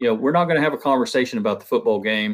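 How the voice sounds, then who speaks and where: In a Southern US accent, a man talks at a very fast pace with medium pitch and lively intonation on a very clean recording with a silent background. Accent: Southern twang. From Ohio. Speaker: construction product rep. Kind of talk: conference panel talk.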